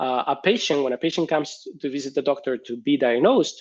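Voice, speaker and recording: This man speaks with a Spanish accent at a fairly quick pace. His pitch sits fairly high. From Spain. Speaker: research professor. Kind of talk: conference talk with Q&A. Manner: hesitant with fillers.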